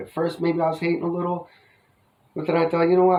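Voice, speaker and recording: A man talks in a high voice with a New Jersey accent. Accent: New Jersey American. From US Northeast, New Jersey. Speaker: yo-yo hobbyist vlogger. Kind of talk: casual vlog review. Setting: outdoors. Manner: rambling casual, filler-heavy.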